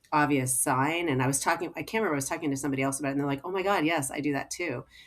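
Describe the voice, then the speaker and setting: A woman speaks with an American accent at a very deep, low pitch. The recording is very clean, with a silent background. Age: 60s. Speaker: physician, gynecologist. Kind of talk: casual podcast interview. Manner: animated, filler-heavy speech.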